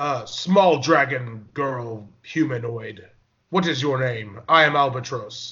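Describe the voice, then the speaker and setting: Loud and at a fairly slow pace, a man uses a put-on character voice with a fairly high pitch. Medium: actual play. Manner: blunt, loud, commanding.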